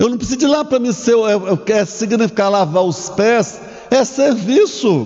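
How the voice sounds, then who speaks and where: A man speaks at a very slow pace with a high pitch and ordinary pitch variation. Audible room echo surrounds his voice. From Brazil, Minas Gerais (Curvelo). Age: 60s. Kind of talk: sermon. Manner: halting, with restarts and fillers.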